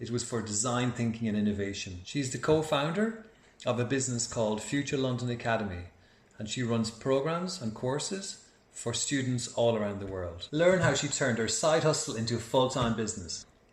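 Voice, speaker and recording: Over noticeable background noise, a man talks at a moderate pace. His pitch is medium and his intonation lively. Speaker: podcast host. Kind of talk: podcast intro.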